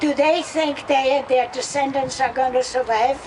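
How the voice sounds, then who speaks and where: With noticeable background noise behind her, a woman speaks in a high pitch with fairly even intonation. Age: 80s+. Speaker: activist. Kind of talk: protest rally speech. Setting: outdoors.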